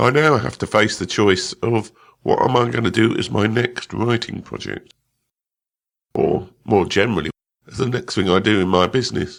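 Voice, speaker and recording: With vocal fry and a medium pitch, a man talks at a moderate pace using ordinary pitch variation. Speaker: podcast host. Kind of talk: solo podcast monologue.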